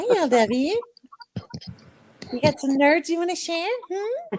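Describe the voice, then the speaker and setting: A put-on character voice pitched extremely high moves at a fairly slow pace. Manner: creepy, menacing.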